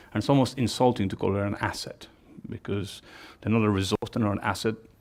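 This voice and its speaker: Here, a man speaks with an English accent and a fairly low pitch. His intonation stays fairly even. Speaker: company executive and American football coach. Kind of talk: conference talk. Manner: hesitant, with repetitions and fillers.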